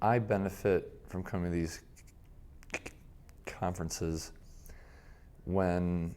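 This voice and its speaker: A man's very deep, low voice at a very slow pace, with fairly even intonation, long, frequent pauses and audible room echo. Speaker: longtime conference attendee who stutters. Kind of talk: interview testimony. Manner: halting.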